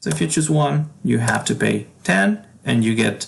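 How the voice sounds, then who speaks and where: In a Spanish accent, a man speaks at a fairly slow pace. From Argentina. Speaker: game developer. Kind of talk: tutorial. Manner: halting.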